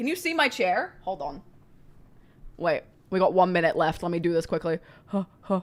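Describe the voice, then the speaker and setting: Pausing often and at length, a woman speaks at a moderate pace with ordinary pitch variation. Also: medium pitch for a woman. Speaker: streamer. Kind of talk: live reaction stream. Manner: loud.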